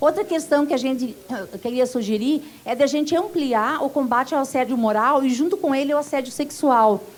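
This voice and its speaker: Over noticeable background noise, a woman talks with a high pitch, ordinary pitch variation, a moderate pace and hardly any pauses. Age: 60s. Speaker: union activist. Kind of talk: conference speech.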